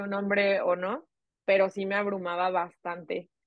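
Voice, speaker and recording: Her pitch medium and her intonation monotone and flat, a woman speaks at a moderate pace. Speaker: podcast co-host. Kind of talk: casual chat.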